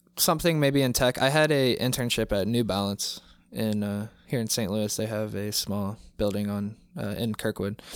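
A man speaks in a normal speaking voice, fairly low in pitch with ordinary pitch variation. His pace is moderate, and the recording is very clean with a silent background. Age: 20s. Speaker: young working student. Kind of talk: casual chat.

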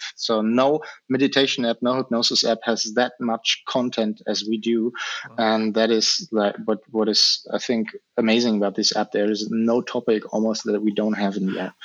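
Here a man speaks with a German accent. His intonation is fairly even. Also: medium pitch for a man, moderate pace. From Germany. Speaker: hypnotherapist. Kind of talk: interview. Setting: video call.

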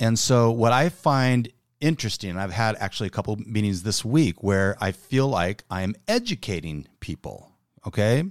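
A man with a plain, everyday voice, a fairly low pitch, lively intonation, a moderate pace, and a dry, close sound with no echo on a very clean recording with a silent background. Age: 50s. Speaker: business podcast co-host and business owner. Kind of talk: casual chat.

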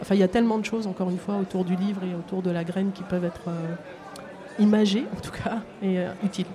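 Against noticeable background noise, a woman of medium pitch talks at a very fast pace in a flat monotone, broken by long, frequent pauses. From France, Seine-et-Marne. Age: 50s. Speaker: project proposer, city cleaning services worker. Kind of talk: live radio interview. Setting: outdoors at a market. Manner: halting.

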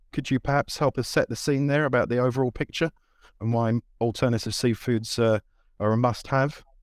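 A man with an ordinary speaking voice at medium pitch talks at a moderate pace with fairly even intonation, recorded with a dry, close sound and no echo. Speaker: webinar host and trade magazine editor. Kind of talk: moderated panel webinar. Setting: video call.

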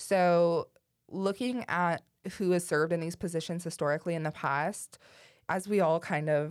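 Heard on a very clean recording with a silent background, a woman with an ordinary speaking voice talks at a moderate pace, her fairly low pitch paired with fairly even intonation. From Ohio, east of Cleveland. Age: 20s. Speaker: student government leader. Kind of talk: interview.

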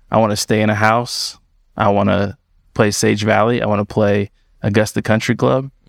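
Recorded very cleanly against a silent background, a man speaks with vocal fry and very even loudness in a dry, close sound with no echo. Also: fairly low pitch for a man, fairly even intonation, moderate pace. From Los Angeles. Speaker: podcast host. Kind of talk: casual chat.

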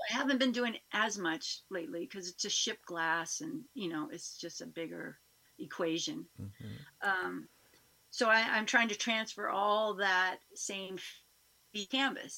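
A woman's bright, sharp, medium-pitched voice with an American accent, vocal fry, lively intonation and a fairly slow pace, on a very clean recording with a silent background. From Northern California. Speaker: painter and singer-songwriter. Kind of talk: casual interview.

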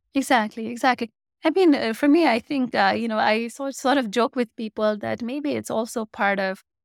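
In a very clean recording with a silent background and a dry, close sound with no echo, a woman speaks at a moderate pace with ordinary pitch variation and a Nepali accent. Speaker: community founder. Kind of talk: interview answers. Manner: hesitant, filler-heavy.

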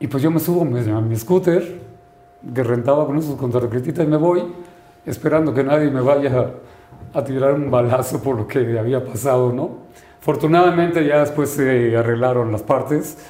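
Noticeable background noise and audible room echo accompany a man whose fairly high pitch shows ordinary variation. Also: moderate pace. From Sinaloa, northern Mexico. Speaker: lawyer and novelist. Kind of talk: interview.

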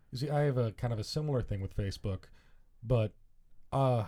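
On a very clean recording with a silent background, a man speaks at a fairly quick pace in a dark, mellow, somewhat breathy voice with ordinary pitch variation. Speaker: guest. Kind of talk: casual banter, podcast chat.

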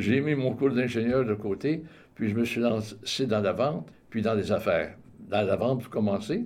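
A plain, everyday voice from a man, moderate in pace and medium in pitch, its pitch variation ordinary. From Quebec, Montreal. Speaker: retired salesman and community volunteer. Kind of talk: radio interview.

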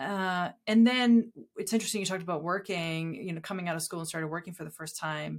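In a very clean recording with a silent background, a woman with an American accent speaks at a very fast pace. Her fairly low voice shows ordinary pitch variation and big swings in loudness. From US Northeast (southern New Hampshire). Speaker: designer and professor. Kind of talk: casual chat. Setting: host's house.

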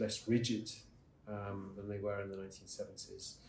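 The voice is somewhat breathy and delivered in a monotone, flat intonation, with audible room echo. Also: man. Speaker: investment strategist. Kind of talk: interview answer at a conference.

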